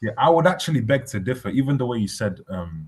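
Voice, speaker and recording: A man's somewhat breathy voice at a very fast pace. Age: 20s. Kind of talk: casual chat.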